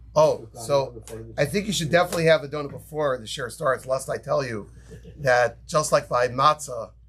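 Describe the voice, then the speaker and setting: With a New York accent, a man of fairly high pitch speaks at a moderate pace, his loudness swinging widely and his pitch varying in an ordinary way. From New York, Brooklyn. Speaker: rabbi teaching a class. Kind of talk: Torah lecture.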